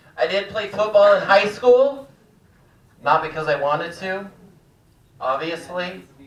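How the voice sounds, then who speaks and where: Audible room echo surrounds a man whose high voice moves at a fairly slow pace with lively intonation and long, frequent pauses. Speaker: stand-up comedian. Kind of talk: stand-up. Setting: stage with audience.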